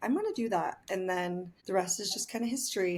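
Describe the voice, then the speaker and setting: Noticeable background noise sits behind a woman with an American accent. She speaks at a moderate pace with a medium pitch. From southern Utah, small town. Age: 20s. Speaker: spray tan artist. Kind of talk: interview. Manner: animated.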